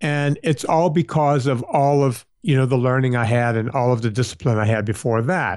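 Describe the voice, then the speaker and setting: On a very clean recording with a silent background, a man with a plain, everyday voice talks at a moderate pace and medium pitch. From US South, southern Louisiana. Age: 50s. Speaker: personal trainer and podcast host. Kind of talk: interview.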